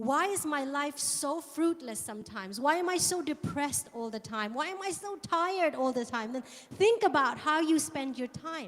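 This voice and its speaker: Against noticeable background noise, a high-pitched woman speaks at a moderate pace with lively intonation and hardly any pauses. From England. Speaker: guest preacher. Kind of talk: sermon.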